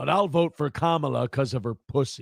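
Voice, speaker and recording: A man's fairly high voice with ordinary pitch variation, dry and close with no echo, on a very clean recording with a silent background. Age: 30s. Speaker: live streamer reacting to clips. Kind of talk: casual live stream commentary. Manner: animated.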